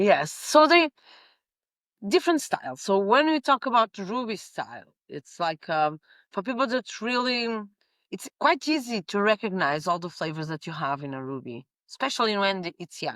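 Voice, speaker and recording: A woman with a Portuguese accent speaks with very wide pitch swings and big swings in loudness, the sound dry and close with no echo. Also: medium pitch for a woman, moderate pace. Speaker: winemaker. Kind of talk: interview conversation. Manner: halting with many fillers.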